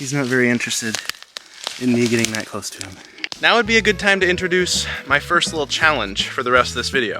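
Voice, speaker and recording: A man speaks at a very fast pace and a medium pitch, with very wide pitch swings and big swings in loudness. Music plays in the background. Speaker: vlogger. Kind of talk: vlog narration. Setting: outdoors.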